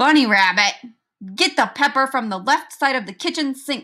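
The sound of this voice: On a very clean recording with a silent background, a woman puts on a growling character voice at a high pitch and a moderate pace.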